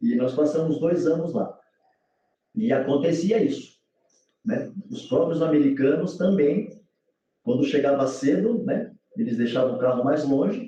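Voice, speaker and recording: A man with a dark, mellow tone and fairly high pitch speaks with very wide pitch swings. He leaves long, frequent pauses. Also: fairly slow pace. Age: 60s. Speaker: former footballer turned lawyer. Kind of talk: casual chat.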